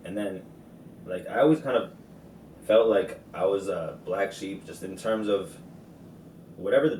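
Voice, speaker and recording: Amid noticeable background noise and audible room echo, a man with a fairly low voice talks at a fairly quick pace with lively intonation. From Harrisburg, Pennsylvania, with New Jersey influence. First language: Arabic. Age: 20s. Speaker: rapper. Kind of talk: casual interview chat.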